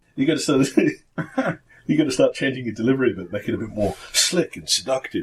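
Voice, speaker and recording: This man talks at a fairly quick pace. His loudness swings widely. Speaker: podcast co-host.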